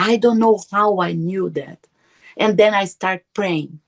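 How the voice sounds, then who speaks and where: A woman with a Portuguese accent speaks fairly slowly at a medium pitch. Her pitch varies in an ordinary way, and the sound is dry and close with no echo. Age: 50s. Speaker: near-death experiencer. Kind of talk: testimony. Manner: halting.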